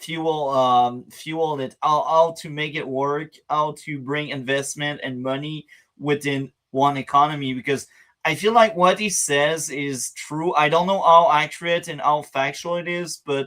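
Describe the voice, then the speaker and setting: The speaker has a non-native accent and a fairly slow pace. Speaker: reaction channel host. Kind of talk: casual talk to camera.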